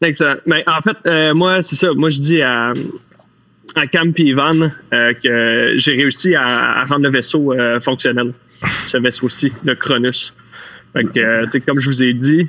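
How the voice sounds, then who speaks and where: A man with a Quebec accent speaks at a fairly slow pace in a medium pitch. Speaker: role-playing game player. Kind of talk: tabletop role-play.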